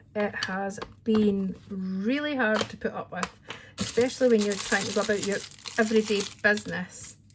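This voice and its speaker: Against noticeable background noise, a woman with a Scottish accent talks at a moderate pace in a fairly high voice with fairly even intonation. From Scotland. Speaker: crafting channel host, hairdresser. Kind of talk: tutorial. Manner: chatty, informal.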